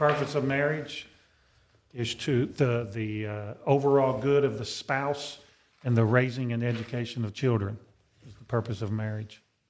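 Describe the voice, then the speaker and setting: A man's unremarkable speaking voice, medium in pitch, with fairly even intonation, big swings in loudness, and a moderate pace. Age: 50s. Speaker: deacon, podcast co-host. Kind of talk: casual chat. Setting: studio.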